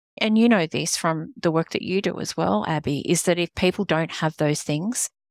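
A woman with an Australian accent at a moderate pace, in a very clean recording with a silent background and a dry, close sound with no echo. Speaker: executive coach and consultant. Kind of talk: casual interview.

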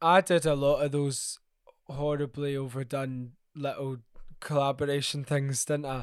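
Pausing often and at length, a man talks with a Glaswegian accent on a very clean recording with a silent background. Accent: Glaswegian Scottish. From Scotland, Glasgow. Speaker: jazz musician. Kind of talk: interview.

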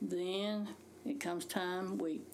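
Here a woman speaks at a medium pitch with a Southern US accent. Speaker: retired teacher, host's mother. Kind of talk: casual chat.

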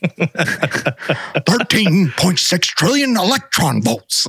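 This man puts on a character voice at a high pitch. His pitch swings very widely. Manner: excitable, eccentric.

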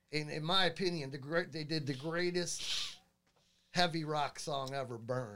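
At a moderate pace, a man with a fairly high pitch and an ordinary speaking voice talks with ordinary pitch variation. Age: 50s. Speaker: guitarist and YouTuber. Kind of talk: casual chat.

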